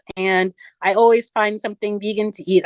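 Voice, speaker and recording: Dry and close with no echo, a woman's normal speaking voice comes at a moderate pace, fairly high in pitch with fairly even intonation. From US (moved from Nigeria as small child). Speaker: vegan social media influencer. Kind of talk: casual interview.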